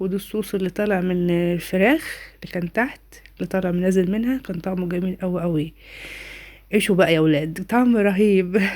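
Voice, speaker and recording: A woman speaks at a fairly quick pace in an Egyptian accent. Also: medium pitch for a woman, ordinary pitch variation. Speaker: home cooking vlogger. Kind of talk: cooking tutorial. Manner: warm, chatty.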